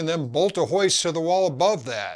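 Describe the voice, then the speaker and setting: At a moderate pace, a man with a fairly high pitch uses an unremarkable speaking voice in a very clean recording with a silent background. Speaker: DIY mechanic youtuber. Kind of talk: comedic scripted narration.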